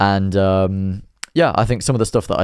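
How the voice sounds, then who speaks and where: The speaker has an East Midlands accent and talks at a moderate pace with ordinary pitch variation. The recording is very clean with a silent background. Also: man. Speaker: motorcycle vlogger. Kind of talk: casual vlog narration. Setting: riding a motorcycle outdoors.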